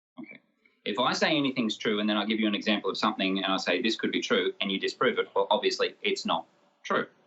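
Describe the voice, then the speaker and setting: Speaking at a very fast pace, a man talks in an Australian accent. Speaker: medical doctor, young-earth creationist debater. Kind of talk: debate.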